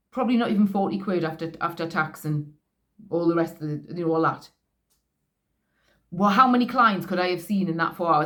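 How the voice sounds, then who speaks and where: A woman speaks with a Geordie accent. Her pitch is fairly low. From northeast England. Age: 40s. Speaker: vlogger, sex worker. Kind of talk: casual monologue. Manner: halting, many false starts.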